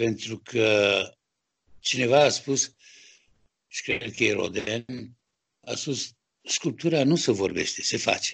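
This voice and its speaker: A man with a Romanian accent speaks at a very slow pace, with long, frequent pauses and ordinary pitch variation, against a quiet background. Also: medium pitch for a man. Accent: Romanian accent noted when speaking French. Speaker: sculptor. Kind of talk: interview. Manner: halting.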